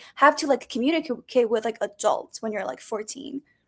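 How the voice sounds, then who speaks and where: Speaking at a fairly quick pace with a non-native accent, a woman uses a high pitch with ordinary pitch variation. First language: not English. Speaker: student. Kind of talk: podcast interview.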